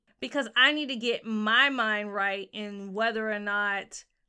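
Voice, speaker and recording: A woman speaks in a fairly high voice with a bright, sharp tone and a Southern US accent. The recording is very clean with a silent background. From US South. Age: 30s. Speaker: podcast co-host. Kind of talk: casual chat. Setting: studio with microphones.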